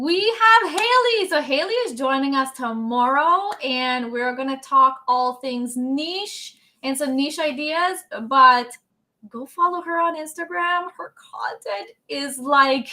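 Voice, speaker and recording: A woman's raised, projected voice, high-pitched and bright with a sharp tone, lively intonation, big swings in loudness and a very slow pace. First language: French. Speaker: workshop host. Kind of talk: live webinar chat. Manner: animated.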